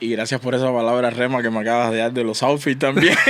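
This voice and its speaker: A man with a Cuban accent, medium pitch and a fairly quick pace. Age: 30s. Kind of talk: podcast interview.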